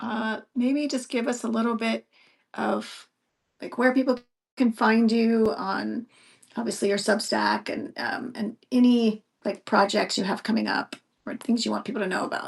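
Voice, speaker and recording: A woman speaks fairly slowly with vocal fry and fairly even intonation. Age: 50s. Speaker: podcast host and writer. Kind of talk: casual chat. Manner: halting, many fillers and restarts.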